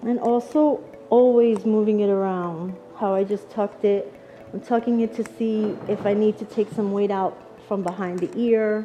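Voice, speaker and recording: A woman with a Long Island accent speaks at a moderate pace in a fairly high pitch, her intonation fairly even over noticeable background noise. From Long Island, New York. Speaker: hairdresser educator. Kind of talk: live demonstration tutorial.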